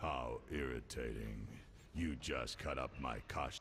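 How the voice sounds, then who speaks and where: Put-on, growling character voice from a man, very deep and low, fairly even in intonation and fairly slow, with clear background noise. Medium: video game. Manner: haughty, menacing, mocking.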